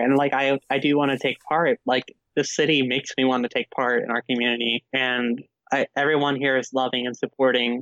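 Fairly even intonation shapes the very deep, low pitch of a woman with an American accent talking at a fairly quick pace. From New Jersey. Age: 20s. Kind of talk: casual interview. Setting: Skype call.

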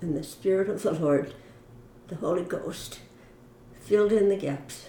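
A woman's medium-pitched voice in audible room echo. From US West Coast, Mountain View, California. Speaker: church member. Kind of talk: interview.

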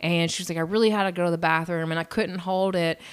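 With a Southern US accent, a woman speaks in a bright, sharp tone on a very clean recording with a silent background. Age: 40s. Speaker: podcast co-host. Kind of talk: casual chat.

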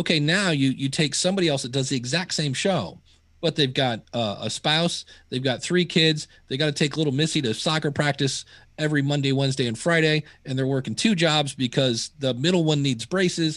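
An ordinary speaking voice moves at a fairly quick pace with ordinary pitch variation. The background is quiet. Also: man, fairly high pitch for a man. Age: 50s. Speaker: podcasting educator. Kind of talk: interview.

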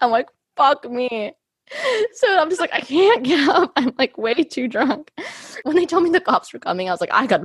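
In a dry, close recording with no echo, a woman with an American accent talks at a moderate pace in an animated tone, her pitch swinging very widely. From US. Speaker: podcast host. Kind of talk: casual chat.

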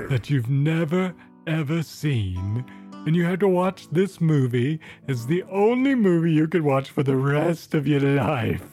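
In a put-on character voice with lively intonation and very even loudness, the speaker moves at a moderate pace with clear music in the background. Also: man, fairly high pitch for a man. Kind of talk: mock-highbrow talk show hosting. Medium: comedy sketch. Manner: pompous, verbose, interrupting.

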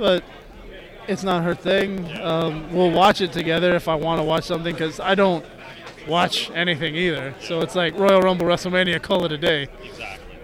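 A man talks at a fairly quick pace in a high pitch. His intonation is monotone and flat, with noticeable background noise behind him. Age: 30s. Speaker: wrestler. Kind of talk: casual chat.

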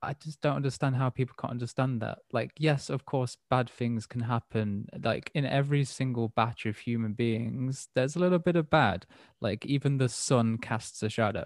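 A man with an English accent at medium pitch, moderate pace and ordinary pitch variation, hardly any pauses, and dry, close sound with no echo. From England. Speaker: podcast host. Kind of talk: casual chat. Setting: remote call.

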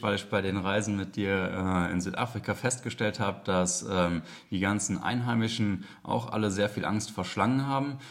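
An unremarkable speaking voice from a man, fairly low in pitch with fairly even intonation and a moderate pace. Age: 30s. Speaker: police detective and snake catcher trainee. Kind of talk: educational interview.

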